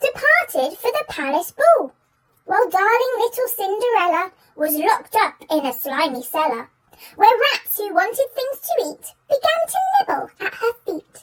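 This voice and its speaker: In a put-on character voice, a woman speaks at a moderate pace with a squeaky, extremely high pitch, very wide pitch swings and a playful tone. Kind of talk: children's story reading. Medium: read story. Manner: lively, playful.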